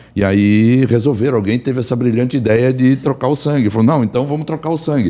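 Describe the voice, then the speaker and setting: At a fairly quick pace, a man with a plain, everyday voice speaks in a medium pitch with ordinary pitch variation. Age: 60s. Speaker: physician and energy therapist. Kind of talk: personal testimony in panel talk.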